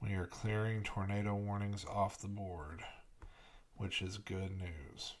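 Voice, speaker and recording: A soft-spoken man talks at a fairly slow pace. His pitch is fairly low. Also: fairly even intonation. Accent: American. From Kentucky. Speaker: broadcast meteorologist. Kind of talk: live weather commentary. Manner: soft-spoken, keeping voice down.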